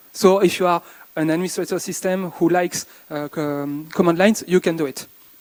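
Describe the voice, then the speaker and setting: Moderately paced male speech, high in pitch, with ordinary pitch variation. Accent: French. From France. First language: French. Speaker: conference speaker. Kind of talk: conference talk. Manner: halting.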